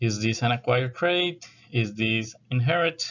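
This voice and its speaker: A man speaks very slowly with a South American accent. His pitch sits in the medium range. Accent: South American accent, noticeable. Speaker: university lecturer. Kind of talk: lecture.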